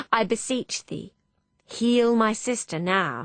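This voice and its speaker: A woman's put-on character voice, fairly high in pitch, with ordinary pitch variation at a fairly slow pace. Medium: read story. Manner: droll.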